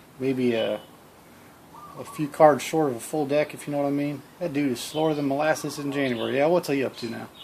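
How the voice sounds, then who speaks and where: A man with an American accent talks at a fairly quick pace and fairly high pitch, with fairly even intonation and noticeable background noise. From Iowa, US. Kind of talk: unscripted comic self-dialogue with country sayings. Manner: casual, joking.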